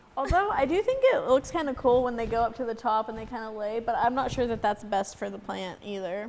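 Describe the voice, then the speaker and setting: A woman at a fairly high pitch with ordinary pitch variation, hardly any pauses, and noticeable background noise. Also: fairly quick pace. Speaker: aquarium podcast co-host. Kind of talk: casual chat. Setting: live stream.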